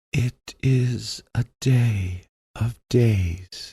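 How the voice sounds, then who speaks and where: Doing a put-on character voice, a man speaks at a medium pitch in a dry, close sound with no echo. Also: ordinary pitch variation. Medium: read story. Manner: solemn, archaic speech.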